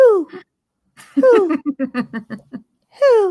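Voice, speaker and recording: A put-on character voice, squeaky and extremely high-pitched, with very wide pitch swings and a playful tone. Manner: hooting, playful.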